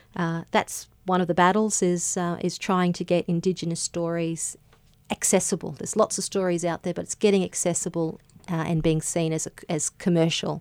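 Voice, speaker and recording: A woman with an Australian accent speaks at a fairly low pitch and a moderate pace with monotone, flat intonation. The sound is dry and close, with no echo. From Queensland, Australia (Gympie). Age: 30s. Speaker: barrister and author. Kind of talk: radio interview. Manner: hesitant, many fillers.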